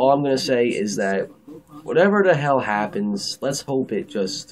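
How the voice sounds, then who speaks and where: A man speaks at medium pitch with lively intonation over noticeable background noise. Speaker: TV show reviewer. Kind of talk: casual video review. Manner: fast; casual, hesitant with fillers.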